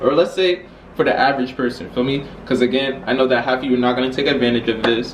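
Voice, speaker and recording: This man's voice sits at a medium pitch. Audible room echo and noticeable background noise are present. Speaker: YouTuber. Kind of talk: casual vlog explainer. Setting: filmed with laptop camera. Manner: stutter; halting.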